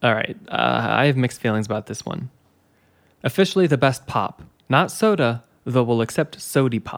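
Here a man uses lively intonation at a moderate pace. Vocal fry runs through his voice. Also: medium pitch for a man. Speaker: podcast host. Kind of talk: casual chat.

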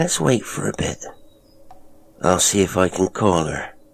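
Putting on a character voice, a man speaks low and fairly slowly with vocal fry and big pitch swings.

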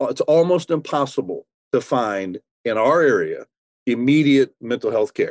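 A man's normal speaking voice, fairly high in pitch, at a moderate pace, with a dry, close sound and no echo. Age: 60s. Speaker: pastor. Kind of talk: interview.

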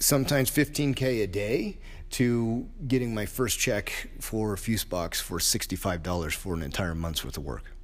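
A man speaks with a fairly low pitch. His pitch swings very widely. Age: 50s. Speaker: martial arts coach and gym owner. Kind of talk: solo podcast monologue. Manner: casual, hesitant with fillers.

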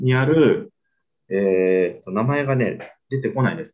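This man's medium-pitched voice swings very widely in pitch as he talks at a fairly slow pace. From Spain (Barcelona). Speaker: restaurant owner and sake promoter. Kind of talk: casual interview.

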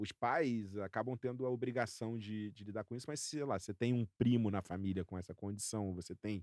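A man talks in a plain, everyday voice, fairly low in pitch with ordinary pitch variation. His pace is fairly quick with hardly any pauses, and the very clean recording has a dry, close sound with no echo and a silent background. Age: 40s. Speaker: podcast co-host. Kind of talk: casual chat.

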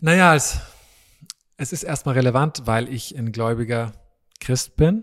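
On a very clean recording with a silent background, a man of medium pitch speaks at a fairly slow pace, with ordinary pitch variation and long, frequent pauses. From East Africa (Tanzania, Malawi, Kenya), born in Vienna. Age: 30s. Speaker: preacher. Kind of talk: casual interview. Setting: dining hall at a retreat centre.

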